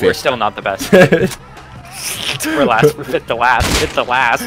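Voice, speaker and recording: With music in the background, a man speaks at a very slow pace in a dry sound with no echo. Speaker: gamer on voice chat. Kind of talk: casual slang, profanity. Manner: casual, joking. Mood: joking, playful.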